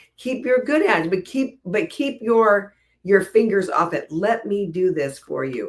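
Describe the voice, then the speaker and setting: At a fairly slow pace, a woman talks in a normal speaking voice. Her pitch is medium. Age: 60s. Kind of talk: casual chat.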